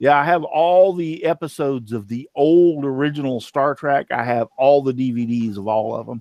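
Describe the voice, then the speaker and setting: Dark and mellow in tone, a man with a Texan accent speaks at a fairly high pitch, the sound dry and close with no echo. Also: ordinary pitch variation, moderate pace, hardly any pauses. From Texas. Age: 50s. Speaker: woodworking show host. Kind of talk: casual chat.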